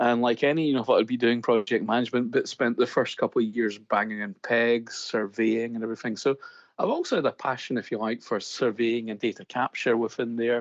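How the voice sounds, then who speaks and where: Speaking in a Scottish accent at a fairly quick pace, the voice keeps fairly even intonation, with a dry, close sound, no echo, and a quiet background. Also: man. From Scotland. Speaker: construction digital consultant. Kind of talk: podcast interview.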